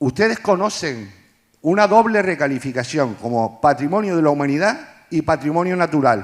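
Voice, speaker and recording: A man speaks at a moderate pace with a high pitch. His tone is animated and his intonation lively. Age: 60s. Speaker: audience member. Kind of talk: public comment at live event. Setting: live event with audience.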